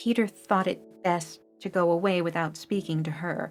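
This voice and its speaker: A woman speaks with an American accent and ordinary pitch variation. Music plays in the background. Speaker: audiobook narrator. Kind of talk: children's audiobook reading.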